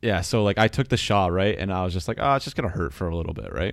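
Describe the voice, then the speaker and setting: Speaking at a very fast pace, a man uses a fairly low pitch with vocal fry. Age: 20s. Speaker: podcast co-host. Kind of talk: casual chat. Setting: online call.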